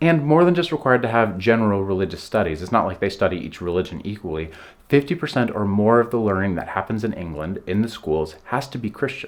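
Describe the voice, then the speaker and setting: Very fast and with hardly any pauses, a man with an American accent speaks at a fairly low pitch with very wide pitch swings. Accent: American accent, noticed by locals. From United States. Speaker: vlogger. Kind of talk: casual vlog talk to camera. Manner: conversational, some repetitions and fillers.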